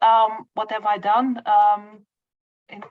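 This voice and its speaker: In a Dutch accent, a woman with a fairly high pitch speaks at a very slow pace. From Netherlands. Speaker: social worker. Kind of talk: self-introduction in online meeting. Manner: halting, many fillers.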